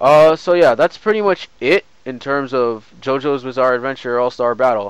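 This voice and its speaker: A man with a normal speaking voice speaks at medium pitch and a moderate pace, with ordinary pitch variation. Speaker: gaming streamer. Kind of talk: game tutorial stream. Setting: live stream. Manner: casual, filler-heavy.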